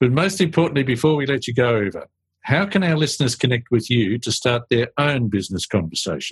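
A man talks with an Australian accent at a medium pitch and a moderate pace. His voice is somewhat breathy, with lively intonation. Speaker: podcast host. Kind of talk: interview, professional conversation.

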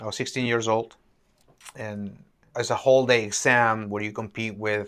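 In a Peruvian accent, a man speaks with monotone, flat intonation on a very clean recording with a silent background. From Peru, Lima. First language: Spanish. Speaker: neurosurgeon. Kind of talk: interview. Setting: in-person in an office.

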